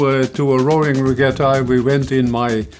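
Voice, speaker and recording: Over music in the background, a man speaks with a Dutch accent. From Netherlands. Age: 80s+. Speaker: interviewee in documentary. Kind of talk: interview. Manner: hesitant, many fillers and repeats.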